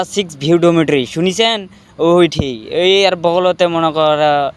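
Male speech set high in pitch, its pitch moving in an ordinary way. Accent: strong Bangladeshi. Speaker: migrant worker and vlogger. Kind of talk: casual vlog.

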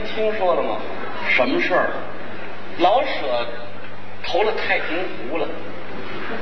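A man's voice with noticeable background noise. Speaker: comic crosstalk performer. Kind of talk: staged comic dialogue. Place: stage. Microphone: camera far.

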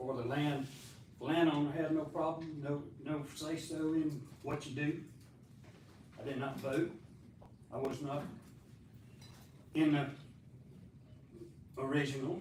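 A somewhat breathy, fairly slow voice in a Southern US accent, monotone and flat, with long, frequent pauses and audible room echo. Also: man, fairly high pitch for a man. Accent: Southern US (Georgia). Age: 80s+. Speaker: resident giving public comment. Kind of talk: public comment at council meeting. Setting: city council meeting. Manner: halting.

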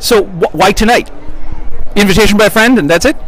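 Someone with an American accent talks with ordinary pitch variation, in a dry sound with no echo and light background noise. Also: man. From Washington DC area. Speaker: student; guest. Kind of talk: street interview. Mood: pleased, friendly. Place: street. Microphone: phone near.

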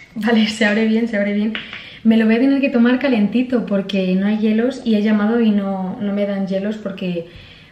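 A woman speaks at a moderate pace. Audible room echo surrounds her voice. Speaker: vlogger. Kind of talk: casual vlog chat. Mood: playful, disgusted reactions. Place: home room. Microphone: camera far.

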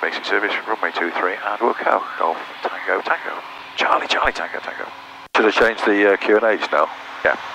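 With fairly even intonation and a fairly low pitch, a man speaks at a moderate pace in a dry sound with no echo, over noticeable background noise. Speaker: private pilot. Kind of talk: pilot radio calls and cockpit chat; radio calls and cockpit talk. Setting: aircraft cockpit over radio. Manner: clipped, brisk radio readbacks; wry, joking asides. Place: plane. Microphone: headset.

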